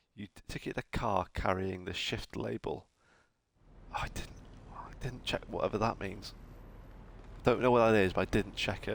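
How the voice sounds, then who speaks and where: With a northern English accent, a man speaks at a moderate pace, taking long, frequent pauses as his loudness swings widely. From northern England. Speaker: video game streamer. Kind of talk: live gameplay commentary. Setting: live stream. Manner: animated.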